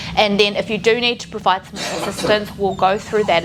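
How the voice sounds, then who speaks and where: A woman with a New Zealand accent speaks at a fairly quick pace over music in the background. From New Zealand, Canterbury (born in Taiwan). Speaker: physiotherapist. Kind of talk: training presentation. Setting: room with live audience. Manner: fast when excited.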